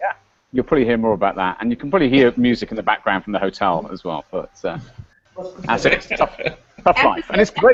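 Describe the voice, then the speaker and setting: In a British accent, a man talks at a very fast pace, broken by long, frequent pauses. The sound is dry and close, with no echo. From UK. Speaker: panelist. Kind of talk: panel chat. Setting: video call from hotel.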